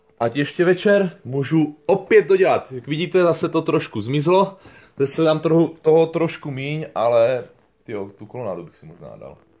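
This man speaks at a fairly quick pace. His intonation is lively. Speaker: vlogger. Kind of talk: casual vlog chat. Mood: playful, laughing. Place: home room. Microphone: phone near.

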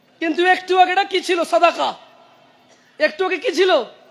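The man's pitch is extremely high. His intonation stays fairly even. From Saudi Arabia. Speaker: Islamic preacher. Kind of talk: sermon.

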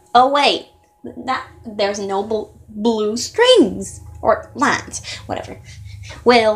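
In a cartoonish character voice, a female-sounding speaker talks at a very slow pace with long, frequent pauses and a fairly high pitch. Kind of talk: amateur cartoon character voice. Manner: puzzled, chatty, wondering aloud.

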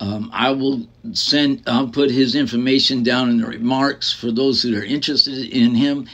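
A man speaks with an American accent at a moderate pace. His intonation is fairly even. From US. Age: 60s. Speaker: vlogger, retired military veteran and former photographer. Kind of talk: casual vlog monologue. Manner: halting, filler-heavy. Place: home room. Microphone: phone near.

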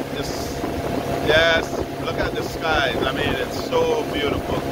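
Speech comes at a very slow pace over loud background noise, the sound dry with no echo. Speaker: travel vlogger. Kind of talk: casual vlog chat. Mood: awed, admiring. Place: boat. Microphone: phone near.

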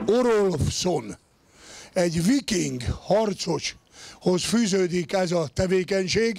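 Speaking at a very slow pace, a man with a high voice and ordinary pitch variation sounds dry, with no echo. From Hungary. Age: 50s. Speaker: strongman competitor and commentator; event announcer. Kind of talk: sports video commentary. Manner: halting. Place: stadium. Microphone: handheld.

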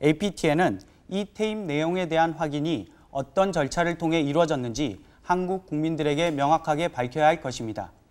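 Over a silent background in a very clean recording, a man with a fairly high pitch speaks at a moderate pace in a plain, everyday voice, with ordinary pitch variation. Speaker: TV news producer-reporter. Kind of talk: scripted narration.

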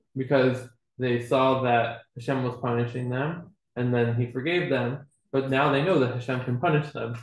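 The man's intonation stays fairly even. He talks at a moderate pace amid audible room echo. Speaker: student in a Torah class; class teacher. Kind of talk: class discussion. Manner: tentative, many fillers. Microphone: webcam.

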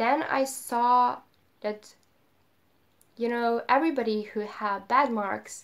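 A woman at fairly high pitch with fairly even intonation, a very slow pace and long, frequent pauses, over a quiet background. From Serbia. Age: 20s. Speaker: web developer. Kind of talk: casual talk to camera. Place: home room. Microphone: phone near.

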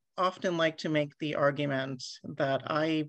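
Over a quiet background, the speaker talks at a fairly slow pace with ordinary pitch variation. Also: woman. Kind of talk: lecture. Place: home room. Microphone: webcam.

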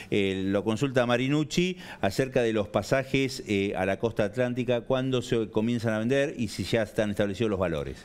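Moderate pace, hardly any pauses, and ordinary pitch variation. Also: man, medium pitch for a man. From Argentina. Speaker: TV journalist. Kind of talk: TV interview. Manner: hesitant, many fillers. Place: studio. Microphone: lapel.

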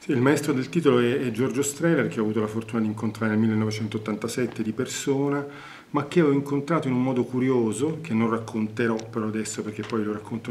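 A man speaks very fast at a medium pitch with fairly even intonation, light background noise behind him. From Naples, Italy. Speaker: theatre director and actor. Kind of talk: interview answer. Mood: reflective, earnest.

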